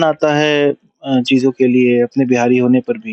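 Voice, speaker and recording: Heard in a dry, close sound with no echo, a man speaks with a Bihari accent. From Bihar, India. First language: Bhojpuri (speaking Hindi). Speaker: film director and producer. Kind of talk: interview.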